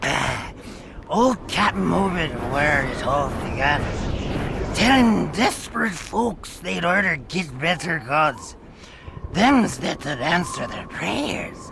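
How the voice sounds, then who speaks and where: A man does a put-on character voice in a New England accent, pitched high with very wide pitch swings. Clear background noise runs underneath. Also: fairly slow pace. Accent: rural old New England dialect. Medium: video game. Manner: rambling, conspiratorial.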